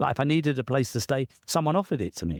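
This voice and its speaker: The sound is dry and close, with no echo. A British accent comes through on a very clean recording with a silent background. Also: man. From southern England. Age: 60s. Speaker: author and coach. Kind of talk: interview.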